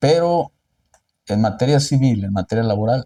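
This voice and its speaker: The dry, close sound with no echo carries a man's somewhat breathy, dark, mellow voice, moving at a moderate pace with very wide pitch swings. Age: 60s. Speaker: lawyer. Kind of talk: interview.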